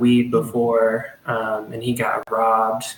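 Using a very slow pace, a man with an American accent talks at medium pitch. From Arkansas, US South. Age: 20s. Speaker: psychedelic research coordinator. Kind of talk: interview.

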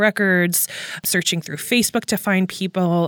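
An unremarkable speaking voice from a woman at medium pitch, with fairly even intonation and a fairly quick pace, on a very clean recording with a silent background and a dry, close sound with no echo. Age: 30s. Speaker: journalist and podcast host. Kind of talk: interview.

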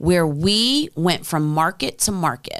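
A woman has a normal speaking voice with a fairly low pitch at a fairly slow pace. The recording is very clean, with a silent background. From US, New Jersey then Midwest. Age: 40s. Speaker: venture capital founder, former music executive. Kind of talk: casual interview.

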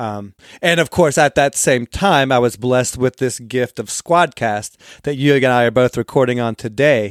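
Recorded dry and close with no echo, a man of medium pitch talks with ordinary pitch variation and hardly any pauses. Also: moderate pace. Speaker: podcast host, construction background. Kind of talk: interview. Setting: remote recording. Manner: halting, many fillers.

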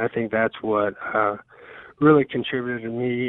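A man with a Southern US accent talks at a moderate pace in a medium pitch, his intonation flat and monotone. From US South, Georgia (north of Atlanta). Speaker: professional baseball pitcher. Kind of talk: radio interview. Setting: phone call.

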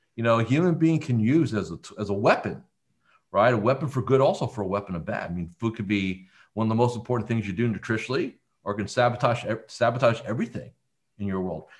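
Over a quiet background, a man speaks very fast at a medium pitch, his voice somewhat breathy and his pitch variation ordinary. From central New Jersey. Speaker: business coach. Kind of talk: interview.

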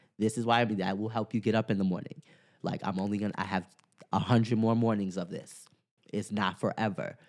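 On a very clean recording with a silent background, a man speaks at a fairly quick pace and medium pitch in a normal speaking voice. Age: 20s. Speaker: yoga teacher and dancer. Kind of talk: casual interview.

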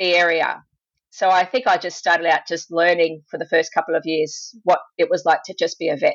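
In an Australian accent, a woman speaks at a moderate pace with a fairly low pitch and fairly even intonation. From Australia, Sydney. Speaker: veterinarian. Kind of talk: interview. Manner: hesitant with fillers. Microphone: poor audio quality at the start.

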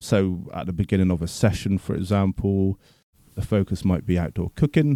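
In a Bristol accent, a man talks at a moderate pace with a very deep, low pitch, a dark, mellow tone and ordinary pitch variation. The sound is dry and close with no echo, on a very clean recording with a silent background. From Bristol, England. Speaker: forest school teacher. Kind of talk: interview.

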